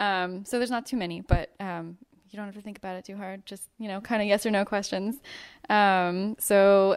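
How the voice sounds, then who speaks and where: Here is an ordinary speaking voice: a woman at medium pitch with fairly even intonation, going at a fairly quick pace on a very clean recording with a silent background. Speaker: podcast co-host and interviewer. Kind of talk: casual chat and interview.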